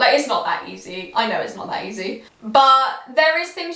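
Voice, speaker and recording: A woman with very wide pitch swings and an animated tone, at a moderate pace, with audible room echo and noticeable background noise. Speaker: YouTuber. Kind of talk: casual vlog talk to camera. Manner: loud.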